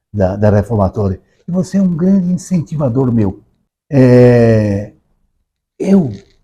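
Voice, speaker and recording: This man speaks at a fairly slow pace with a medium pitch and lively intonation. His tone is dark and mellow, and somewhat breathy. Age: 80s+. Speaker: author. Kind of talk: interview conversation. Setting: recorded at a literary academy. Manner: halting, repeats words.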